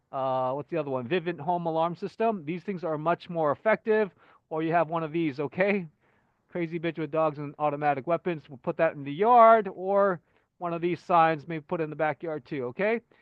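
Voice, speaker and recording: Someone speaks at a fairly quick pace with ordinary pitch variation. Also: man, fairly high pitch for a man. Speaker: channel owner presenting home design ideas. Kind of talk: casual presentation over slides. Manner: fast; hesitant, many fillers and restarts.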